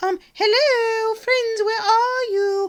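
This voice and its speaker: A woman performs a cartoonish character voice. She speaks at a fairly slow pace. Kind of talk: children's puppet show.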